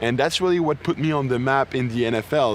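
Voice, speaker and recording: A man's very fast speech in a French Canadian accent, with ordinary pitch variation and noticeable background noise. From Quebec, near Montreal. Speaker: football player and medical student. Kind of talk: interview.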